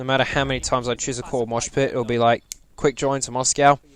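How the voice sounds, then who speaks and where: A man at a medium pitch with ordinary pitch variation, plus noticeable background noise. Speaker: gaming YouTuber. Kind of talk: game review monologue. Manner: hesitant, many fillers.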